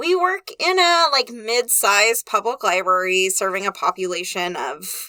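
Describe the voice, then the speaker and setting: Loud and bright with a sharp tone, a woman speaks at a fairly high pitch with very wide pitch swings and hardly any pauses, recorded dry and close with no echo. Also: moderate pace. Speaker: podcast co-host, librarian. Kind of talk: casual chat. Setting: recording booth.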